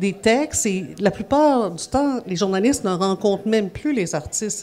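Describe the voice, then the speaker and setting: Noticeable background noise sits behind a woman's voice. Her pitch is medium and her intonation lively. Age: 50s. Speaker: music journalist. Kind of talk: interview. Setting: café venue.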